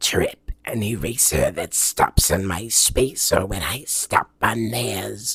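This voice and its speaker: A raspy, put-on character voice from a man at medium pitch, fairly slow in pace. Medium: solo performance.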